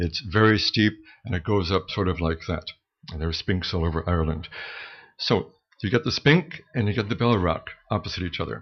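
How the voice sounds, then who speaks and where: A man's very deep, low, somewhat breathy voice with an American accent, at a fairly quick pace with long, frequent pauses and ordinary pitch variation. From US Midwest, Michigan. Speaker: storyteller. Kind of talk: live storytelling. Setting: stage with audience, open mic. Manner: conversational, with hesitations.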